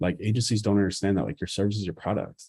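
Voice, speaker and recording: Very deep and low in pitch, a man speaks in a dark, mellow tone. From US Northeast, Boston. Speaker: marketing educator. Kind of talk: live stream Q&A. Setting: live YouTube stream. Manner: fast; casual.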